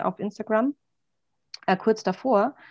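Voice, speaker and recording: A woman at a moderate pace with ordinary pitch variation, dry, close sound with no echo, and a quiet background. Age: 30s. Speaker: coach who recently went self-employed. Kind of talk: interview.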